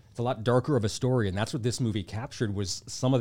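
Recorded very cleanly against a silent background, a man with a normal speaking voice talks at a medium pitch with ordinary variation. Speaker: podcast co-host. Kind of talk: casual chat.

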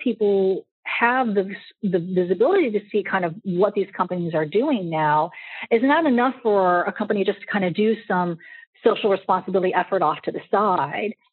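A woman speaks in an American accent at a medium pitch. Her pace is moderate and her pitch variation ordinary. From US Midwest (St. Louis, Missouri). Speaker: branding expert and consultant. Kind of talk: interview.

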